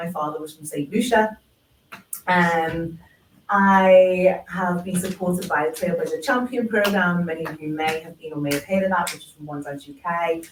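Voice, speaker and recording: A Liverpool accent at a moderate pace, with ordinary pitch variation and big swings in loudness. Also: woman, fairly low pitch for a woman. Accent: Scouse. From Liverpool, England. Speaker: dance practitioner. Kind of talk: panel discussion.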